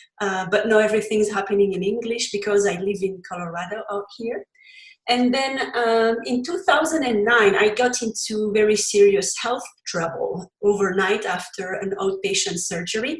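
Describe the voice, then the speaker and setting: A woman with a Belgian accent, fairly high in pitch, at a moderate pace, with ordinary pitch variation. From Belgium. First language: French. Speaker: cookbook author and recipe developer. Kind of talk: interview.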